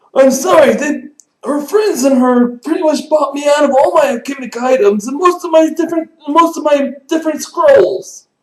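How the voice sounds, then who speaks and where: This man's put-on character voice has an extremely high pitch. He talks at a fairly slow pace. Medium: actual play. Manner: chatty, rambling.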